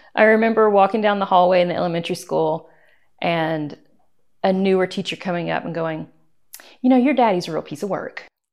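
An American accent marks a woman speaking at a fairly quick pace with ordinary pitch variation and long, frequent pauses against a quiet background. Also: medium pitch for a woman. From US South, East Tennessee. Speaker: photographer and artist. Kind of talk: interview.

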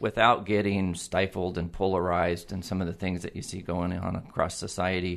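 A man's very deep, low voice in a West Coast accent, monotone and flat, over a quiet background. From Oregon (Eugene). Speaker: utility general manager. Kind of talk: interview. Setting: studio.

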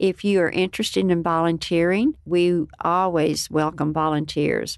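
Against a quiet background, a woman with a fairly low pitch speaks at a fairly slow pace with ordinary pitch variation. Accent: West Texas. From Lubbock, Texas. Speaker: nonprofit director. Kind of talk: radio interview.

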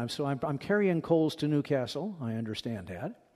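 A man talks at a moderate pace with lively intonation and a fairly high pitch. He has an unremarkable speaking voice. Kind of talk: lecture with audience Q&A. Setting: stage with audience.

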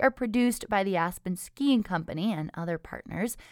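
A woman talks at a moderate pace with medium pitch and lively intonation. It is a plain, everyday voice, with a dry, close sound and no echo. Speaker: local public radio news host. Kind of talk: newsreading, scripted local radio newscast. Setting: radio studio. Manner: measured, even-paced newsreader delivery; clear, neutral, formal broadcast tone.

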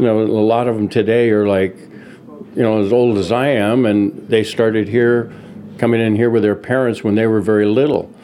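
A man talks at a moderate pace with a medium pitch and fairly even intonation. Background noise is noticeable. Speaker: deli manager. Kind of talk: casual talk at work. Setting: in a shop.

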